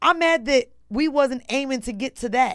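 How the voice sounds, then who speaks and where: A woman's high-pitched voice with lively intonation, in an American accent. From Orlando, Florida. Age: 30s. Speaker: podcaster and media personality. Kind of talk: casual interview chat.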